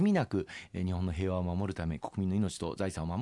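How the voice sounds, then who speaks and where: Against a quiet background, a man speaks at a moderate pace. His very deep, low voice has a dark, mellow tone. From Osaka, Japan. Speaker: politician. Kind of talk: interview. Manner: formal.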